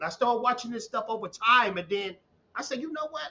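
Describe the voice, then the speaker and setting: Lively intonation from a man with a Southern US accent. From Texas, small town. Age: 30s. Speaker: YouTube commentator. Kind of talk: casual chat. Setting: live stream.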